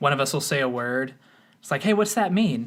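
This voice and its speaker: A man with an American accent, fairly high pitch, lively intonation and a bright, sharp tone. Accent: slight Texas accent, mostly dropped. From Texas. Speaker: product management guest. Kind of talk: casual chat.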